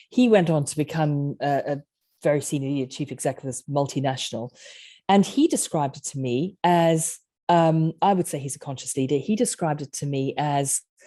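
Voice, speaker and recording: A woman with a South African accent, very deep and low in pitch, a dark, mellow tone, ordinary pitch variation, big swings in loudness and a quiet background. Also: fairly quick pace. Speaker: author and leadership coach. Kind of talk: podcast interview.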